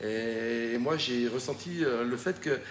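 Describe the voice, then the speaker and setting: A man is speaking. His pitch is medium, with ordinary variation. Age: 60s. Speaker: retired winemaker. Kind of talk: video message. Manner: hesitant, many fillers.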